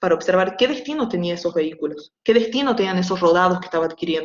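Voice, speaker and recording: A woman's voice at medium pitch. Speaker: university lecturer. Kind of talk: online lecture; casual chat. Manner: fast.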